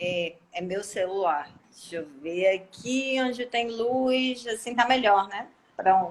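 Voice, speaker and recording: Over noticeable background noise, a woman at medium pitch speaks very slowly with ordinary pitch variation. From Cariri region, Ceará, Brazil. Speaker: law professor and lawyer. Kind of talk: casual live stream chat.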